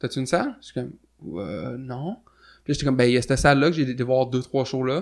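A man speaks very fast at a medium pitch. His pitch varies normally, and the background is quiet. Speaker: punk musician and show promoter. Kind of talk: casual interview.

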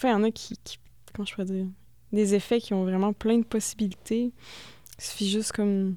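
A woman's dark, mellow voice at medium pitch, fairly quick yet broken by long, frequent pauses, with monotone, flat intonation. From Quebec, Thetford Mines. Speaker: experimental musician. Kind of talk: casual radio interview.

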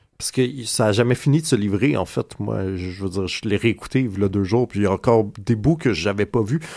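Barely pausing, a man speaks at a fairly quick pace in a fairly low pitch, with a dark, mellow tone and ordinary pitch variation. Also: very clean recording, silent background. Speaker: radio comics columnist. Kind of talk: casual chat. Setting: studio.

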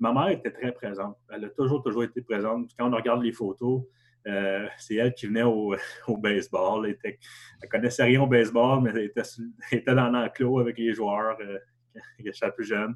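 A man with an ordinary speaking voice talks fairly quickly at a medium pitch, his intonation fairly even but his loudness swinging widely. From Quebec, Gatineau (Hull). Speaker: survivor of family tragedy, graduate student. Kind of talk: testimony.

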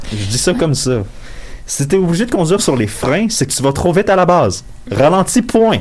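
With very wide pitch swings, the speaker keeps a moderate pace amid noticeable background noise. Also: man, high pitch for a man. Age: 20s. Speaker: sports columnist on panel. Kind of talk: casual panel chat.

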